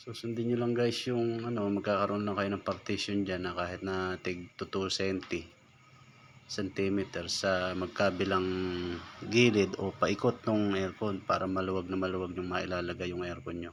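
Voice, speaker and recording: A man speaks at a very deep, low pitch. His intonation stays fairly even. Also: moderate pace. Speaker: welder and DIY tutorial maker. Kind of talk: tutorial. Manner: casual. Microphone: no microphone.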